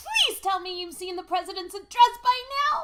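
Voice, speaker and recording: A squeaky, extremely high-pitched put-on character voice. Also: moderate pace. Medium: read story. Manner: energetic, persuasive.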